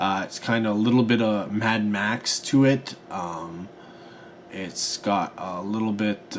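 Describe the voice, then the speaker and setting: Over noticeable background noise, a man mumbles at a fairly low pitch with ordinary pitch variation. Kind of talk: casual film review vlog to camera. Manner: hesitant, mumbling with fillers.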